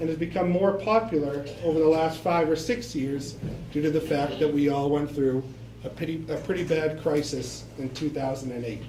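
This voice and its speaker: A man with an American accent speaks at a moderate pace, his pitch fairly high and his intonation ordinary. The room echo is audible, and there is noticeable background noise. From Boston, Massachusetts. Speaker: bank loan representative. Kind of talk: presentation to local residents.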